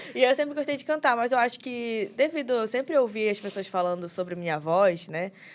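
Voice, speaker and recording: A woman speaks in an unremarkable speaking voice, fairly high in pitch, at a fairly quick pace with lively intonation, on a very clean recording with a silent background. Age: 20s. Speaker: young pastor. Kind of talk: casual chat.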